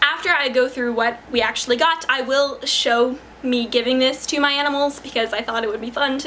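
A woman with a high pitch speaks over light background noise. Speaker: pet vlogger. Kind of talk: casual vlog chat. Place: home room.

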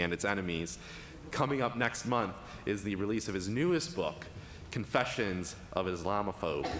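A man talks at a fairly low pitch. Light background noise and audible room echo are present. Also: moderate pace. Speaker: event host introducing speaker. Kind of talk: speaker introduction. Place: hall. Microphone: podium.

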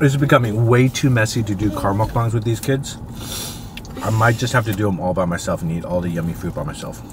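Over noticeable background noise, a man talks at a very fast pace in a fairly low pitch with ordinary pitch variation, the sound dry with no echo. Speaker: family vlogger. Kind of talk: casual mukbang vlog chat. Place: car.

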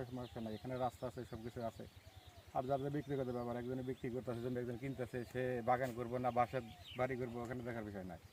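Flat and monotone, a man talks at a medium pitch. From Bangladesh, Manikganj. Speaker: farmer. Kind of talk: street interview.

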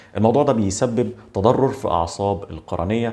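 The tone is dark and mellow. The speaker has an Egyptian accent. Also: man. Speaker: eye doctor. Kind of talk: medical explainer video. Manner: conversational. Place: office.

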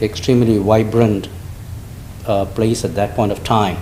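A man's fairly low, monotone voice with flat intonation and a non-native accent, at a moderate pace, amid audible room echo and noticeable background noise. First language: not English. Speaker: restaurant owner, public commenter. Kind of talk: public comment at council meeting. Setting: council chambers. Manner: halting.

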